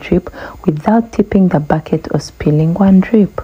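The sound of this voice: A woman's fairly low voice with a slightly husky edge, ordinary pitch variation, and a moderate pace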